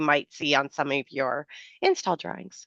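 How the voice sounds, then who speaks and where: A woman speaks at a moderate pace against a quiet background. The sound is dry and close with no echo. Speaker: software product presenter. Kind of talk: product demo on video call. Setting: video call with screen share. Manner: filler-heavy, casual.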